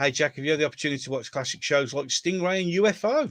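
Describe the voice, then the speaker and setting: In a very clean recording with a silent background, a man talks at a very fast pace in a fairly high pitch. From Birmingham, England. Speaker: YouTube host. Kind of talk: casual chat. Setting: livestream.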